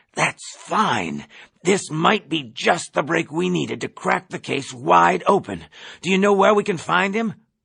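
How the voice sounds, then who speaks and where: A man does a put-on character voice that is high and raspy, delivered at a moderate pace. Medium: read story. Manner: conspiratorial, overeager.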